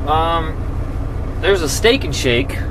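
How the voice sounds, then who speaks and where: Noticeable background noise sits under a man whose delivery moves at a fairly slow pace. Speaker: truck driver vlogger. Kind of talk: casual vlog chat. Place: car. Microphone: phone near.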